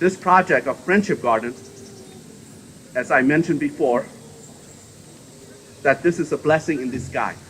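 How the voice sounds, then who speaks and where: Someone with a Southeast Asian accent talks at a moderate pace with ordinary pitch variation and long, frequent pauses. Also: man, fairly high pitch for a man. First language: Hmong. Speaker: politician. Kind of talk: public dedication speech.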